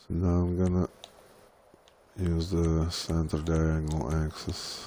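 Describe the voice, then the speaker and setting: Very slow, mumbled speech in a flat monotone, with a dark, mellow tone and audible room echo. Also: man, very deep, low pitch for a man. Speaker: gaming content creator. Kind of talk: live tutorial. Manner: mumbling.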